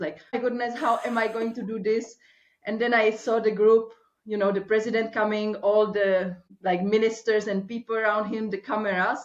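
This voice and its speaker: A woman with a Czech accent speaks at a moderate pace in a fairly high pitch, her intonation monotone and flat. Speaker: life and accountability coach. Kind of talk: interview.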